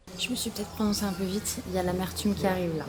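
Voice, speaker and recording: A woman races along at a very fast pace with noticeable background noise behind her. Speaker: travel vlogger. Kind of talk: casual vlog narration. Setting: outdoors, travelling in Japan. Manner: animated; whispering.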